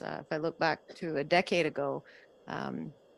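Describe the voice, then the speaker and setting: A woman with a Canadian accent speaks at a very deep, low pitch with vocal fry. The recording is very clean, with a silent background. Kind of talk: panel discussion. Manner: fast.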